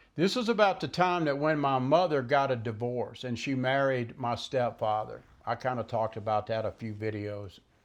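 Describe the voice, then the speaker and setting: Against a quiet background, a man with a Southern US accent talks at a moderate pace. His pitch is medium and his intonation lively. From US South, Mississippi Gulf Coast. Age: 70s. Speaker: vlogger. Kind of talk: personal monologue. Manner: halting; unscripted.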